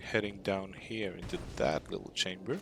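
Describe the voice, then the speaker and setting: A man speaks in a Swedish accent. His pitch is fairly low. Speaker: gaming streamer. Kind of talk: live gameplay stream chat.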